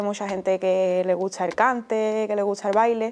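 Her intonation stays flat, a woman talking in a monotone. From Andalusia, Spain (Utrera, Seville); Andalusia. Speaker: flamenco dancer; interviewee. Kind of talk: interview. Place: studio.

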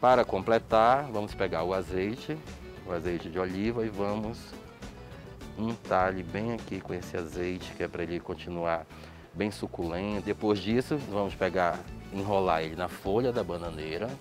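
Clear music plays behind a man with a very deep, low pitch who speaks at a moderate pace with ordinary pitch variation. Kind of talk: cooking tutorial. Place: cafe.

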